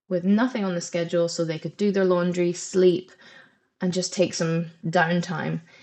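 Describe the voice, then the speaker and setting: A woman with a Scottish accent speaks at a fairly slow pace in a medium pitch, her intonation fairly even against a quiet background. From Scotland. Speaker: head of programmes at a language school. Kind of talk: webinar presentation. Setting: live webinar. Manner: conversational, with frequent fillers.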